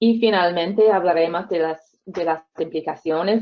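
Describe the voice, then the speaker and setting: Using a non-native accent, a woman speaks at a fairly slow pace with ordinary pitch variation. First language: English (speaking Spanish). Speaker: reading researcher. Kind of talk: webinar lecture. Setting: video call. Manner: halting, with fillers and repetitions.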